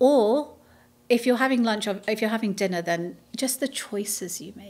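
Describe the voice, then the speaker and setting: A woman with a British accent speaks at a moderate pace, her fairly high pitch showing ordinary variation and big swings in loudness. The recording is very clean, with a silent background. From London, England. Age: 40s. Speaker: nutrition advocate and presenter. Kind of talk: podcast interview.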